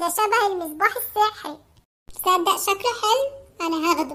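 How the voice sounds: Squeaky and cartoonish, this character voice has lively intonation at a fairly slow pace. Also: woman, extremely high pitch for a woman.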